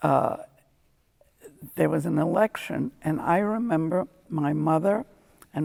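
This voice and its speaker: The voice carries vocal fry alongside lively intonation. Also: woman. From Germany. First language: German. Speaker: Holocaust survivor. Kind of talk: testimony.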